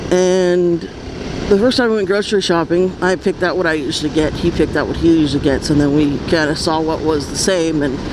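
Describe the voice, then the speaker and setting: Amid noticeable background noise, a woman speaks at a fairly low pitch with ordinary pitch variation. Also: fairly quick pace. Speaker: motovlogger. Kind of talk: casual vlog monologue while riding. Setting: riding a scooter in freeway traffic. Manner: quiet with pauses.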